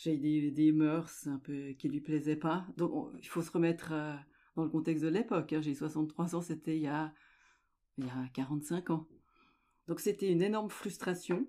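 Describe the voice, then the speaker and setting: Against a very clean recording with a silent background, a woman speaks with a very deep, low pitch and a dark, mellow tone, leaving long, frequent pauses. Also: ordinary pitch variation, moderate pace. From French-speaking Switzerland, Lake Geneva. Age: 60s. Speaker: amateur journalist and sailor. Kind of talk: interview.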